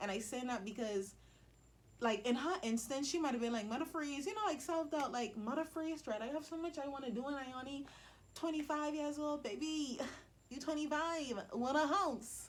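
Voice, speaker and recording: A woman with a Bahamian accent talks at a moderate pace in a high pitch with ordinary pitch variation, and the room echo is audible. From Bahamas. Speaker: motivational vlogger. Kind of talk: motivational vlog talk. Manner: casual, conversational.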